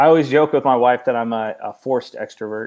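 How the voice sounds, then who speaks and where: With a Pacific Northwest accent, the speaker talks at a fairly quick pace. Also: man. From Oregon, US. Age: 30s. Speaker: nonprofit founder. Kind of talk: interview.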